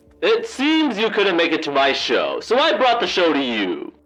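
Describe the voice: Faint music plays behind a man doing a put-on character voice at an extremely high pitch and a moderate pace.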